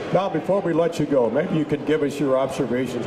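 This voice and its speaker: Fairly high-pitched male speech at a fairly quick pace, with noticeable background noise. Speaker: radio play-by-play host; radio show host. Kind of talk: radio sports talk. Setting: live at a restaurant with audience. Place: bar. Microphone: headset.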